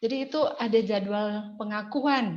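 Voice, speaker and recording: A woman speaks with a fairly high pitch. The room echo is audible. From Indonesia, West Java (Cigugur, Kuningan, Sundanese). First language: Sundanese (speaking Indonesian). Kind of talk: testimony.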